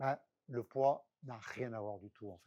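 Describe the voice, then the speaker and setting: A man's voice has a dark, mellow tone. The sound is dry and close, with no echo. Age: 60s. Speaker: public agency director giving a talk. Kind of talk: conference talk. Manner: hesitant, many fillers and repetitions.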